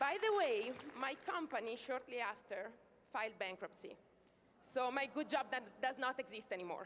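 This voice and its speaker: With an Italian accent and a high pitch, a woman speaks at a moderate pace with lively intonation and long, frequent pauses. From Italy. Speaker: network marketing distributor. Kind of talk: stage testimony speech. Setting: stage with audience.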